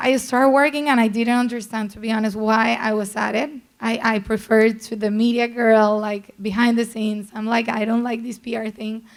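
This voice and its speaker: A woman with a strong Colombian accent speaks in a fairly high voice with monotone, flat intonation. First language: Spanish. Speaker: PR executive. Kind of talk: panel talk.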